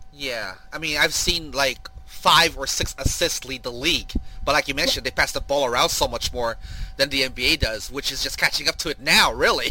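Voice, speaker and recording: A man talks fairly quickly as noticeable noise runs in the background. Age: 40s. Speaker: sports podcast host. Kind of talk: casual chat.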